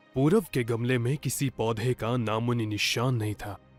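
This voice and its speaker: Music plays in the background as a man speaks. His voice sits at a medium pitch with a warm tone. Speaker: voice-over artist. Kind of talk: children's moral story narration. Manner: storytelling, warm.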